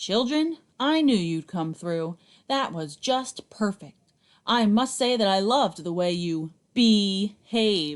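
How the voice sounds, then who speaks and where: A woman's put-on character voice at a medium pitch, with very wide pitch swings. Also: fairly slow pace. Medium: read story. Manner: genial.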